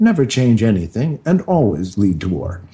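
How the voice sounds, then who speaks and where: At a moderate pace, a man speaks in a dark, mellow tone that is somewhat breathy, with very wide pitch swings. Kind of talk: thoughtful radio interview, reflective talk. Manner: measured, earnest, philosophical.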